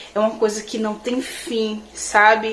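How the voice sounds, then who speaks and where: Against noticeable background noise, a woman talks at a fairly slow pace in a fairly high pitch. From Natal, Rio Grande do Norte, Brazil. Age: 20s. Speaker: beauty and hair content creator. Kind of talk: religious testimony to camera.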